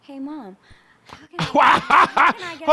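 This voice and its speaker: A put-on character voice, high-pitched and raspy. It moves at a moderate pace. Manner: whiny, wheedling.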